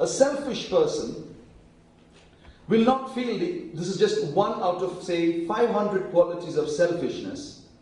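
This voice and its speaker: Over noticeable background noise, a man with a high voice speaks fairly slowly, using lively intonation. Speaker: preacher. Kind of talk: sermon.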